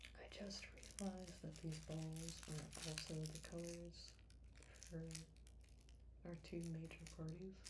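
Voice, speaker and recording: A soft-spoken woman talks at a very slow pace in a relaxed tone. She leaves long, frequent pauses, and her loudness stays very even. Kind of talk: ASMR soft-spoken talk to camera. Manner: soft-spoken, slow, relaxed.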